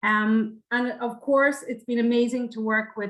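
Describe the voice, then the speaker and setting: With an Irish accent, a woman talks at a fairly high pitch and keeps her intonation fairly even. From Ireland. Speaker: university international officer. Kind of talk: panel presentation.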